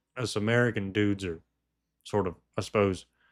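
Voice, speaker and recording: A man speaks with a Southern US accent at a moderate pace. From US South, Georgia. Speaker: podcast host. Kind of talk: casual chat. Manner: halting, many repeats.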